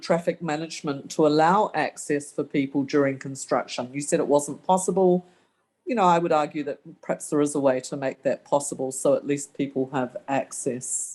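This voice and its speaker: A woman with a slight New Zealand accent, a very deep, low pitch and ordinary pitch variation. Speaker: local resident. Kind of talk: community meeting question.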